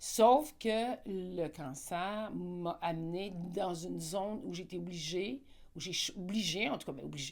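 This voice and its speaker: A woman speaks at a very slow pace with vocal fry and a medium pitch. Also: ordinary pitch variation. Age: 60s. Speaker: interviewee on personal growth. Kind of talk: interview. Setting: live event.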